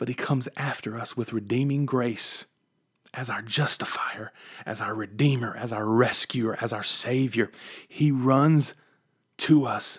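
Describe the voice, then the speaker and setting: A fairly slow pace from a man with a medium-pitched voice. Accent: West Virginia. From West Virginia. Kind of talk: devotional podcast monologue. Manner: animated.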